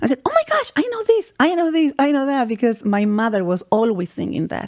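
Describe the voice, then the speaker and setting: This woman speaks in a Spanish accent with a high pitch. Her voice makes very wide pitch swings in a dry, close sound with no echo. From Chile. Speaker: vocalist and musician. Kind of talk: radio interview. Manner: halting, frequent repetitions.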